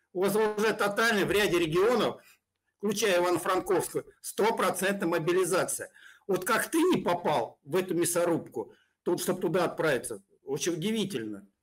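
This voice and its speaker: A man speaks with a high pitch. His loudness is very even. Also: ordinary pitch variation, moderate pace, quiet background. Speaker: pro-Russian blogger. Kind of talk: heated debate. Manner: mocking, aggressive. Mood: hostile, taunting. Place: home room.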